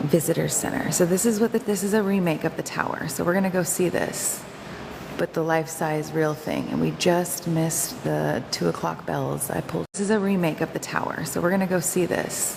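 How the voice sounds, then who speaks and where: A woman's fairly quick speech against noticeable background noise. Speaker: livestreamer. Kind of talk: walking livestream vlog. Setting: museum visitor center, walking. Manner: halting, self-correcting; quiet.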